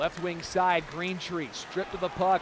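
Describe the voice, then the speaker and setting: A man's raised, projected voice over loud background noise. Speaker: hockey play-by-play announcer. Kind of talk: live commentary. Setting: arena broadcast of hockey game. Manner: voice surges and rings out on goals.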